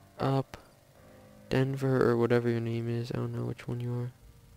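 A man speaks at a medium pitch in a flat, monotone delivery, with music playing in the background. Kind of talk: casual gameplay commentary.

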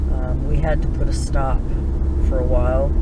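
A woman is speaking over loud background noise. The sound is dry, with no echo. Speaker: vlogger. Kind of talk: casual vlog chat. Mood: relaxed, chatty. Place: car. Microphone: phone near.

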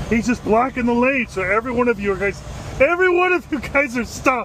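Noticeable background noise runs under a man speaking at a fairly quick pace. The sound is dry, with no echo. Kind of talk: casual vlog commentary. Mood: incredulous, amused. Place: car. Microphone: phone near.

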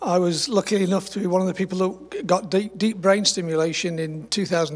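With a slightly husky edge, a man talks fairly quickly at a high pitch with fairly even intonation.

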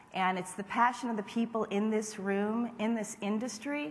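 A woman speaks in a somewhat breathy voice. Her intonation is fairly even. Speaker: marketing executive. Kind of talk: award acceptance speech. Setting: stage with audience. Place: hall. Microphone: podium.

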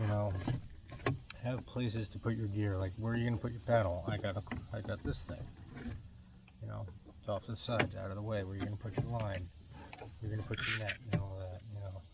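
Over loud background noise, a man mumbles at a very fast pace with fairly low pitch and fairly even intonation, the sound dry with no echo. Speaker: weekend kayak angler. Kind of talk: casual talk to camera. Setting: outdoors, on the water, low-quality camera mic. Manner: mumbling. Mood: relaxed, friendly. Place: boat. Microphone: camera far.

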